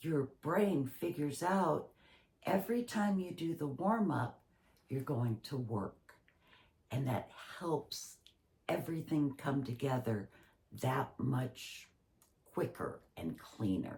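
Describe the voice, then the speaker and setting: The voice moves very slowly, with long, frequent pauses and very wide pitch swings. Noticeable background noise runs underneath. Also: woman, very deep, low pitch for a woman. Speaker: acting instructor and professional actor. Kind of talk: tutorial.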